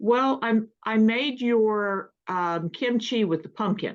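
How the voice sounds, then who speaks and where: A woman talks at a very slow pace. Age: 60s. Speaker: meeting participant, home fermenter. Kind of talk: casual chat.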